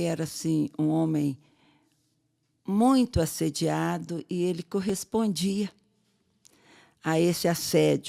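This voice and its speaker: Very slowly, a woman speaks in a fairly low voice with a dark, mellow tone, in a very clean recording with a silent background and a dry, close sound with no echo. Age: 70s. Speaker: podcast co-host, biologist and sex educator. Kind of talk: casual chat.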